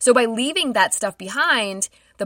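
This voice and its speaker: A woman speaks at a moderate pace with a fairly high pitch and a bright, sharp tone. The recording is very clean and silent in the background, with a dry, close sound and no echo. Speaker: podcast host. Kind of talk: true-crime narration. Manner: measured, solemn storytelling with dramatic, hushed gravity; clear, steady and scripted-sounding, with grim detail.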